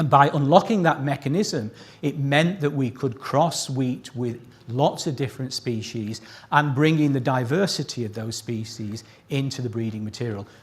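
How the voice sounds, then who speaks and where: The voice sounds somewhat breathy, and its pitch varies in an ordinary way. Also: man, medium pitch for a man, moderate pace. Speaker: scientist presenting a prize citation. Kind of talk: award ceremony speech. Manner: higher pitch when excited.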